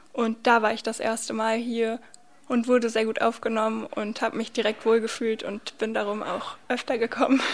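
Noticeable background noise runs through this clip. A woman speaks at a moderate pace with monotone, flat intonation. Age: 20s. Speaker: student and youth centre volunteer. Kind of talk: interview.

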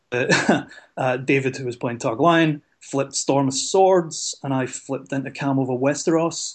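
A man with a Scottish accent speaks at a fairly high pitch with fairly even intonation. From Scotland. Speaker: card game player. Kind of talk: casual chat.

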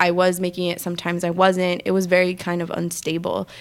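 A woman with an American accent, fairly low in pitch, at a fairly quick pace, on a very clean recording with a silent background. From New York City, the Bronx. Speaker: art blogger. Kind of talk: casual chat.

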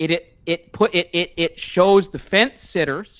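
A man with a Canadian accent has an unremarkable speaking voice. His pitch is fairly high and his pace fairly slow. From Canada. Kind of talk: casual chat.

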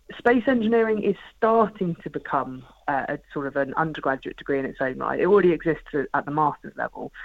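The speaker has a southern English accent. The pace is very fast. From southern England (Portsmouth). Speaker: space scientist and projects manager. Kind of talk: radio interview.

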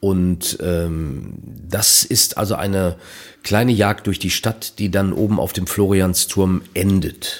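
A man's very deep, low voice at a very slow pace with fairly even intonation, on a very clean recording with a silent background. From Germany, Minden area (East Westphalia). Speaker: author and cabaret artist. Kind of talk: casual interview.

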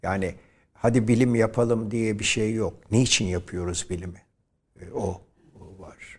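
In a very clean recording with a silent background, a man with a fairly low pitch speaks somewhat breathily at a fairly slow pace, with fairly even intonation, big swings in loudness and long, frequent pauses. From Turkey, Izmir. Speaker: professor and nationalist thinker. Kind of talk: interview. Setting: studio.

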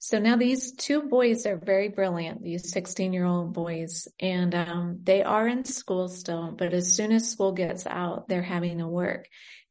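A woman with an American accent and an unremarkable speaking voice, medium in pitch, at a fairly slow pace with ordinary pitch variation. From United States (born in Britain, moved at five). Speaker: nurse and charity founder. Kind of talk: interview. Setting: remote call from abroad.

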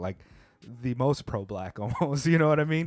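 On a very clean recording with a silent background, a man with a Californian accent sounds animated, using ordinary pitch variation. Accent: Californian American English. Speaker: podcast host. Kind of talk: casual chat. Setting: studio.

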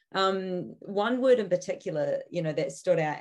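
Her voice fairly low in pitch, a woman speaks with a New Zealand accent. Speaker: podcast co-host. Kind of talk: casual interview conversation.

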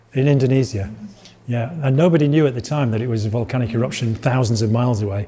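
A man talks at a fairly quick pace with a Yorkshire accent. His medium pitch carries fairly even intonation. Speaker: lecturer giving a public talk on art and weather. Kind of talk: informal lecture.

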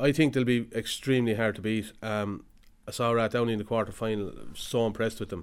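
A man with an Irish Midlands accent speaks at a moderate pace and fairly low pitch, his intonation fairly even, on a very clean recording with a silent background. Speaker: hurling analyst. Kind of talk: casual chat.

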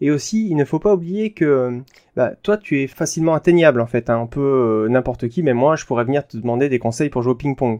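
Here a man talks at a fairly high pitch in a dark, mellow tone with lively intonation. The sound is dry and close, with no echo. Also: fairly quick pace. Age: 30s. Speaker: podcast host, software engineer. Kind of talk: solo podcast monologue. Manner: casual, with fillers.

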